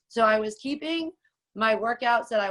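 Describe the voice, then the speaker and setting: In a very clean recording with a silent background, a woman with a normal speaking voice talks at a moderate pace and a fairly high pitch. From rural Canada. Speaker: personal trainer. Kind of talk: casual chat.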